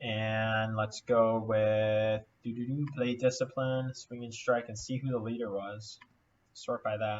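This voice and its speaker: Very slowly, a man speaks with monotone, flat intonation. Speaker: fantasy baseball content creator. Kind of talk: casual screen-share analysis. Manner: thinking aloud with fillers; mumbling.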